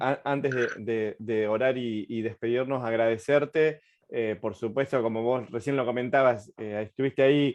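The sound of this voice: With fairly even intonation, a man of medium pitch talks at a moderate pace.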